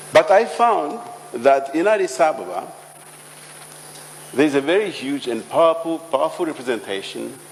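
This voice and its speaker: Noticeable noise fills the background. Over it, a man talks at a moderate pace. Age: 50s. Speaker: business leader. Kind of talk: panel discussion.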